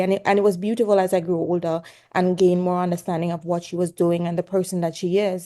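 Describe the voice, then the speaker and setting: With a Jamaican accent, a woman speaks in a dark, mellow tone against a quiet background. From Jamaica, rural Hanover. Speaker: pediatrics resident doctor. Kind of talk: podcast interview. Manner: animated.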